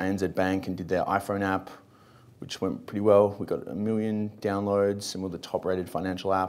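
A man with an Australian accent and a fairly low pitch, at a moderate pace, with monotone, flat intonation. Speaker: startup co-founder; panelist. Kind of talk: panel discussion. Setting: stage with audience. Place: hall. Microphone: lapel.

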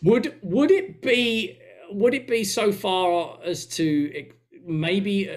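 Against a quiet background, a man with a high pitch talks at a very slow pace with lively intonation. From England. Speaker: podcast co-host. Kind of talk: casual chat. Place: home room.

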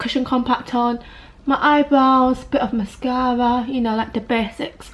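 Speaking fairly slowly in a British accent, a woman holds a high pitch with monotone, flat intonation. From UK. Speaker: vlogger. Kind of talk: casual vlog. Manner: chatty, casual. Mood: relaxed, slightly reflective. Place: home room. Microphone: phone near.

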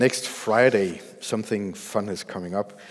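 A man's voice at a fairly low pitch. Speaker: pastor. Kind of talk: sermon. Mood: warm, smiling. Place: church. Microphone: headset.

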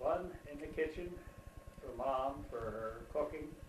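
A man with an American accent, heard with light background noise and audible room echo. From New Jersey, USA. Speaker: interviewed grandfather. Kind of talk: interview answer. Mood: calm reminiscing. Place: home room. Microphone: camera far.

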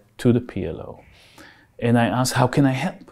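Against a quiet background, a man with an Israeli accent talks at a moderate pace. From Israel (Haifa). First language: Hebrew. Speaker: architect and researcher. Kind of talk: in-depth interview. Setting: studio. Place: empty room.

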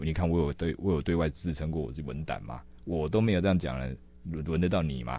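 A man speaks at a very fast pace in a very deep, low voice with vocal fry. His tone is dark and mellow, with ordinary pitch variation and a dry sound that has no echo. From Taiwan. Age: 30s. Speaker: political staffer and city council candidate; council candidate. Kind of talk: interview. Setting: studio. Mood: amused, laughing. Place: studio. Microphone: studio mic.

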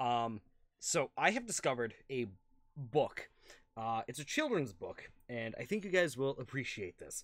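Fairly slow pace from a man, quiet background. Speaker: gaming youtuber. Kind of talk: casual chat; reading aloud. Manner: hesitant fillers. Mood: relaxed, amused. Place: home room.

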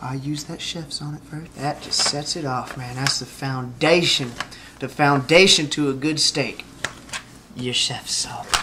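The tone is bright and sharp, and the pace is fairly slow. Pitch varies in an ordinary way over faint background noise. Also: man, medium pitch for a man.

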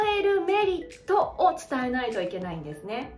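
A woman's voice with very wide pitch swings, audible room echo and faint music in the background. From Hokkaido, Japan. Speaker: speaking coach; narrator, former radio announcer. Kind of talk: educational talk to camera. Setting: home living room. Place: home room.

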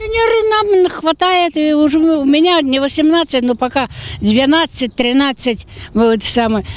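A woman speaks at a high pitch and a fairly slow pace, the sound dry with no echo. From Kirov, Russia. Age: old. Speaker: pensioner. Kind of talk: interview answer. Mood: complaining, indignant about wages. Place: waterside. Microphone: handheld.

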